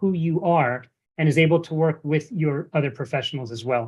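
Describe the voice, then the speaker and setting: A man with an American accent talks in a normal speaking voice at a fairly quick pace, with a fairly high pitch and ordinary pitch variation. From United States. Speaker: investment advisor. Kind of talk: webinar presentation. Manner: repetitive, many false starts.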